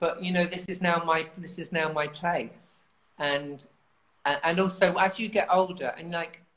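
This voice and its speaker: With a London accent, a woman speaks at a fairly slow pace with a fairly low pitch and fairly even intonation, her loudness swinging widely. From southern England. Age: 50s. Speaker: writer and campaigner. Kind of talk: casual chat. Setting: video call.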